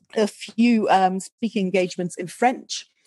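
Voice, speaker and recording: A woman with a northern English accent speaks in a dark, mellow tone with fairly even intonation. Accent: generic northern English. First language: not English. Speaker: speaker. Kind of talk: podcast interview.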